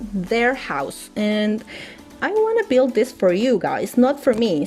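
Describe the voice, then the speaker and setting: Over noticeable background noise, a woman speaks with a high pitch and a non-native accent. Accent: non-native English speaker. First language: Spanish. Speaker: gaming youtuber. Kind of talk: casual chat over speed build. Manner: halting, repeats words.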